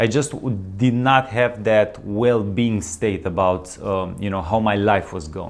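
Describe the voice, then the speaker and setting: With a slight non-native accent, a man speaks fairly slowly at a fairly low pitch, with ordinary pitch variation and hardly any pauses. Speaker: wellness coach, channel host. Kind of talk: casual vlog monologue. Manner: halting, many fillers and restarts.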